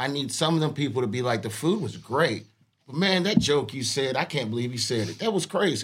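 A man speaks at a moderate pace with a medium pitch. His voice is somewhat breathy, and his intonation is lively. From Tennessee. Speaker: restaurant server. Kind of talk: casual chat. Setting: studio.

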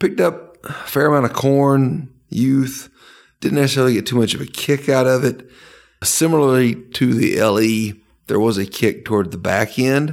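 Over a silent background in a very clean recording, a man with an unremarkable speaking voice talks at a moderate pace, medium in pitch with ordinary pitch variation. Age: 30s. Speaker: podcast co-host, pharmacist. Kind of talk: casual chat.

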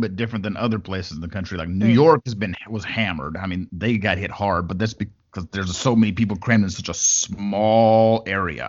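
With an unremarkable speaking voice and an American accent, a man speaks at a fairly quick pace with hardly any pauses, in a fairly low pitch with ordinary pitch variation. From West Texas. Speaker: podcast host. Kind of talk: casual interview chat. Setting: video call with guest abroad.

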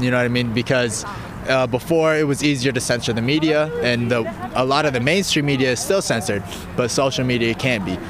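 With an American accent, a man talks at a fairly quick pace and a medium pitch, with ordinary pitch variation and noticeable background noise. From US, Colorado. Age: young. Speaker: youth activist organizer. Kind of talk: street interview. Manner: hesitant, many fillers.

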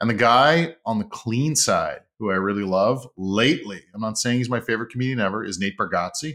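With a Montreal accent and a bright, sharp tone, a man at medium pitch talks at a fairly quick pace with ordinary pitch variation and hardly any pauses. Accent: English Canadian (Montreal). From Montreal, Quebec (English-speaking). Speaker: comedian and sales trainer. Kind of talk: casual interview.

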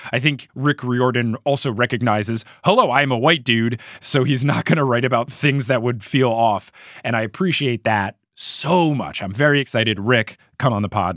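In a very clean recording with a silent background and a dry, close sound with no echo, a man with an American accent and a plain, everyday voice speaks at medium pitch and a moderate pace with ordinary pitch variation. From US Northeast, New Jersey. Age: 20s. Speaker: podcast host. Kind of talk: casual book discussion podcast.

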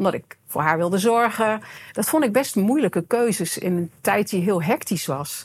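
A woman speaks at a moderate pace in a medium pitch, with lively intonation and an ordinary speaking voice. The recording is very clean, with a silent background. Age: 50s. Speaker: coach and self-employed entrepreneur. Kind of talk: podcast interview.

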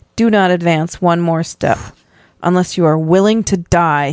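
A woman's booming, put-on character voice, fairly low in pitch, at a moderate pace on a very clean recording with a silent background. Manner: booming, threatening.

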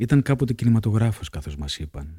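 Calm in tone, a man speaks at a moderate pace in a dark, mellow, somewhat breathy voice with lively intonation, the sound dry and close with no echo on a very clean recording against a silent background. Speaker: podcast host reading diary. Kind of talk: reading aloud from a travel diary. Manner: measured, calm, narrative reading.

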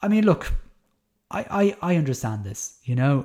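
A man with a Dublin accent speaks at a moderate pace, his voice somewhat breathy. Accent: Dublin Irish. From Ireland, Dublin. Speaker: podcast host, primary teacher. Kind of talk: solo commentary podcast. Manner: casual, hesitant with many fillers.

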